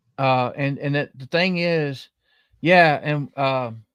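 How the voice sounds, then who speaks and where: A man with a Southern US accent at a very slow pace, fairly high in pitch with fairly even intonation, in a dry, close recording with no echo and a quiet background. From southern middle Tennessee. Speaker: podcast host. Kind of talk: casual live-stream chat.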